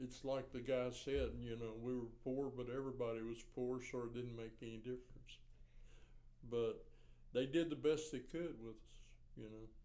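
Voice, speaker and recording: Man with a Central Texas accent, medium pitch, dark, mellow tone and fairly even intonation. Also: moderate pace. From Riesel, Texas. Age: 70s. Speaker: retired teacher, coach and school administrator. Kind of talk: oral history interview answer.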